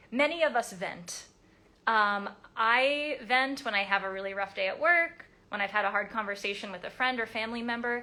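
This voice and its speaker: A woman's fairly high, animated voice with ordinary pitch variation. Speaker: codependency recovery coach. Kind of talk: live stream talk. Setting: live video stream. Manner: fast.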